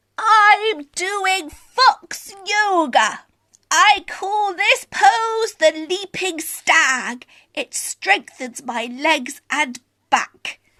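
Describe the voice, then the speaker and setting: Using a put-on character voice, a woman speaks at an extremely high pitch. She goes at a very slow pace. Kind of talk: bedtime story. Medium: read story.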